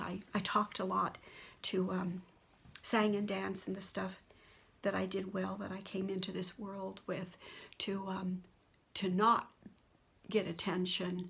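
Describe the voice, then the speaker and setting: With some vocal fry, a woman talks at a moderate pace and a medium pitch. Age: 70s. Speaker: spiritual video blogger. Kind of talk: personal testimony monologue. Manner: unscripted, halting.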